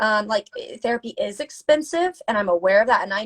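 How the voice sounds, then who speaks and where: In an American accent, a woman with an unremarkable speaking voice and fairly high pitch talks at a fairly quick pace with lively intonation, the sound dry and close with no echo. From US South. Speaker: mental health advocate, interviewer. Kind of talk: casual chat. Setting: Instagram live video call.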